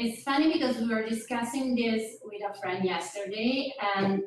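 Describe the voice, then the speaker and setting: Audible room echo surrounds a woman with an Italian accent who talks at a moderate pace with ordinary pitch variation. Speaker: audience member asking a question. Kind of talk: audience question at a seminar.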